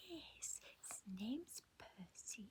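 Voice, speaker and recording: A woman whispering in a gentle tone. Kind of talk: ASMR show and tell, relaxing toy review. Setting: home, close-mic ASMR. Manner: soft-spoken, gentle, slow.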